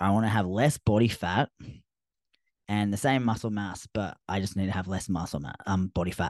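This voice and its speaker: A man's fairly low voice in an Australian accent, with ordinary pitch variation, a moderate pace, and a dry, close sound with no echo. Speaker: fitness coach podcaster. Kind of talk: solo podcast monologue. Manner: casual, conversational.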